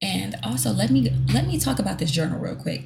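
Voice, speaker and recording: Speaking at a moderate pace with an American accent, a woman has a dark, mellow tone and vocal fry. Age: 20s. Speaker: podcast host and lash artist. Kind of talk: casual solo monologue.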